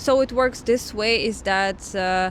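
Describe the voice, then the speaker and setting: Speaking at a fairly slow pace, a woman with a Russian accent uses a medium pitch and ordinary pitch variation. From Russian Far East, Vladivostok. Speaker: vlogger. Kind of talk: explanatory vlog talk. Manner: halting, many fillers.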